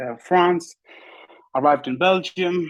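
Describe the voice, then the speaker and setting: Moderately paced speech comes from a man with an Afghan accent. The background is quiet. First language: Pashto. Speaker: bodybuilder. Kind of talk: interview. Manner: halting.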